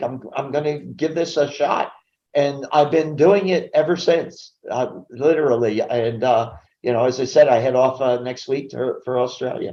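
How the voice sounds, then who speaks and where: Speaking at a fairly slow pace, a man with an American accent has a fairly high pitch and a dark, mellow tone. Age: 70s. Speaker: business coach and speaker. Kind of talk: interview. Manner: halting with repetitions.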